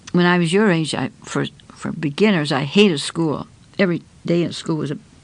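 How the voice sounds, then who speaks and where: A woman's fairly low voice with vocal fry, ordinary pitch variation and a fairly quick pace. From Canada. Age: 90s. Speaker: environmental activist. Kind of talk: interview storytelling. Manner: conversational.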